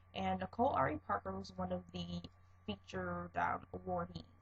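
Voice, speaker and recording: Soft-spoken, the voice moves at a moderate pace. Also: woman. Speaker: vlogger. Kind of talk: casual monologue vlog.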